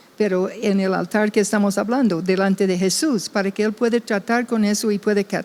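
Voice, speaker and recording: Over noticeable background noise, a woman at medium pitch talks at a fairly quick pace with hardly any pauses. Her loudness stays very even, and her intonation is fairly even. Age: 70s. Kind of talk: testimony in podcast chat.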